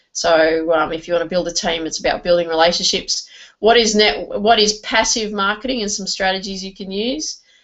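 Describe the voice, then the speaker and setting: A woman with an Australian accent talks at a fairly quick pace in a medium pitch. Her pitch varies in an ordinary way while her loudness swings a lot. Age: 40s. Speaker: network marketing trainer. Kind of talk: online training presentation. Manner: halting, many fillers.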